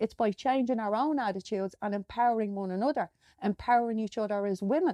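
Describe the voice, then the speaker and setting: With an Irish accent, a woman talks at a very fast pace in a fairly high voice with a dark, mellow tone and ordinary pitch variation, the sound dry and close with no echo. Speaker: podcast host. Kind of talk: podcast monologue. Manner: conversational, some hesitations.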